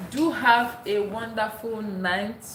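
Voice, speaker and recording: Audible room echo and noticeable background noise surround a woman whose pitch varies in an ordinary way. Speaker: live streamer. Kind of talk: casual live stream chat. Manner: animated.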